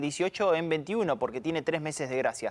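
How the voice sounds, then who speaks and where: High-pitched male speech, fairly quick in pace, with ordinary pitch variation. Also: very clean recording, silent background. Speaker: economic analyst. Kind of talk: live talk show discussion.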